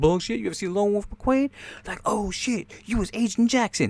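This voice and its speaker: A man performs a put-on character voice at a high pitch, with ordinary pitch variation and a moderate pace. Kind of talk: street slang. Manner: casual, exaggerated.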